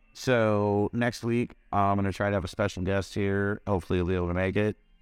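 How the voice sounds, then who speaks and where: With music in the background, a man talks at a fairly quick pace in a dry, close sound with no echo. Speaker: cannabis podcast host. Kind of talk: casual chat. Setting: live stream.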